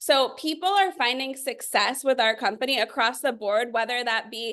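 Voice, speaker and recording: A woman speaks at a high pitch in a bright, sharp tone. The background is quiet. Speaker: network marketing leader. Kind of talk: sales pitch. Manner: animated.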